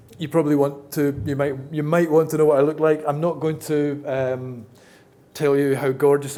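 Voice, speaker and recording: A man at a fairly high pitch and a moderate pace, with audible room echo and noticeable background noise. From Scotland. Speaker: accessibility consultant and conference speaker. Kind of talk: conference talk. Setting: stage with audience. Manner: casual, hesitant with many fillers.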